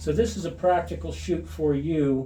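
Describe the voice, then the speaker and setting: Speech comes fairly slowly in a somewhat breathy voice. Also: man. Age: 60s. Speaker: shooting hobbyist channel host. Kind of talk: narrated video commentary. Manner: halting with many fillers.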